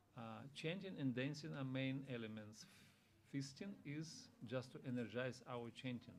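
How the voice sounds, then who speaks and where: A man with a non-native accent speaks at medium pitch and a moderate pace, with ordinary pitch variation and audible room echo. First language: not English. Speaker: visiting monk giving a scripture class. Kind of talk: religious class. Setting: temple room with audience.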